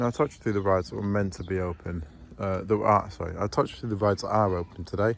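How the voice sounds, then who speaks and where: A soft-spoken man talks at a very fast pace. His pitch is fairly low, with ordinary variation. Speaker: vlogger giving a zoo tour. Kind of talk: casual walking vlog narration. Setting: outdoors at a zoo. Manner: quiet, soft-spoken.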